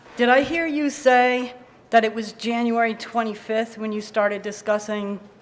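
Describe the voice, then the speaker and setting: A woman at a fairly high pitch and moderate pace, fairly even in intonation, with audible room echo. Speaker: resident speaking at town meeting. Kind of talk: public comment at town meeting. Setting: town hall meeting with audience. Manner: loud.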